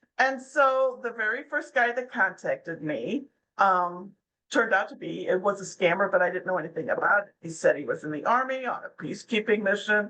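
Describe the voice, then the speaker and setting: Her tone bright and sharp, a woman speaks at a fairly quick pace with a medium pitch, lively intonation and big swings in loudness. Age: 60s. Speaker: anti-scam blogger. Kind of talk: interview. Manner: casual.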